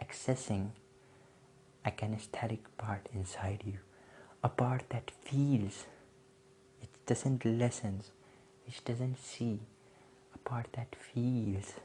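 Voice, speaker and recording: Putting on a character voice, a man speaks at medium pitch and a fairly slow pace, breathy and monotone with flat intonation, leaving long, frequent pauses. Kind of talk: hypnotic, demonstrative. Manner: slow, low, breathy.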